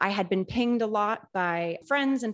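With an American accent, a woman uses an ordinary speaking voice at a medium pitch with ordinary pitch variation. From Central Massachusetts. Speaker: makerspace director. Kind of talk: interview.

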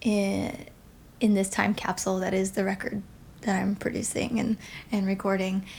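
A woman speaks at a medium pitch in a somewhat breathy voice. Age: 30s. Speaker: singer and life coach. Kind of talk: casual interview.

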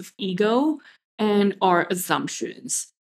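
This woman has a plain, everyday voice at a medium pitch, with lively intonation. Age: 30s. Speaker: podcast host and business coach. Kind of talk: solo podcast monologue.

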